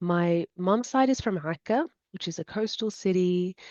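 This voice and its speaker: Speaking with an Australian accent, this woman has a medium pitch. Her voice is that of a woman. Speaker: student and embroidery artist. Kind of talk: interview.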